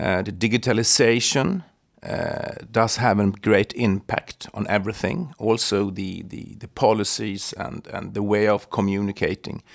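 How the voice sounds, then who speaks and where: The speaker has a Swedish accent and a fairly slow pace. Loudness swings widely while intonation stays fairly even. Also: man. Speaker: podcast co-host, tax lawyer. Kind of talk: interview.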